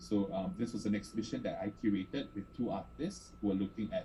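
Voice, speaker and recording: His pitch is fairly low, and his pitch swings are very wide. The man keeps a fairly quick pace. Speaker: art space director. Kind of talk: panel presentation. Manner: fast.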